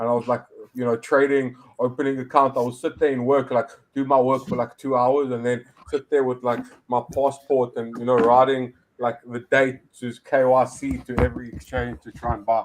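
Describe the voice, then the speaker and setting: Speaking at a medium pitch, a man keeps a moderate pace. His intonation is monotone and flat. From South Africa. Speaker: crypto entrepreneur. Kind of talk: casual interview chat. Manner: halting, many fillers and restarts.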